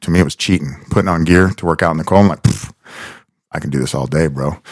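A man speaks with a very deep, low pitch and vocal fry. His pitch varies in an ordinary way, and the sound is dry and close with no echo. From South Florida. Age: 40s. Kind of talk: casual chat.

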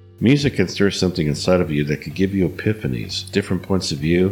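Lively intonation amid noticeable background noise. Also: man. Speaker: radio DJ. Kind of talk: radio DJ patter, introspective spoken-word monologue between psychedelic tracks. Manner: measured, reflective and earnest, with a dreamy, sermon-like calm; smooth, formal radio-announcer delivery.

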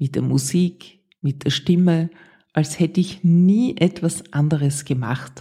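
A dark, mellow, somewhat breathy voice at a very slow pace. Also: woman, fairly low pitch for a woman, ordinary pitch variation. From Austria, Vienna. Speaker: podcast host, former radio presenter. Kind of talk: personal storytelling monologue.

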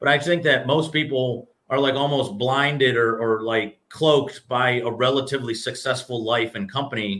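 An unremarkable speaking voice from a man, medium in pitch, at a moderate pace with ordinary pitch variation and hardly any pauses. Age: 30s. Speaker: business executive and entrepreneur. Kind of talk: casual interview.

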